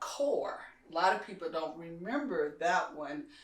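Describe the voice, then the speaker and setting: With an American accent, a woman speaks in a fairly low voice with ordinary pitch variation, and room echo is audible. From Kentucky, US South. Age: 60s. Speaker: community leader. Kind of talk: interview conversation.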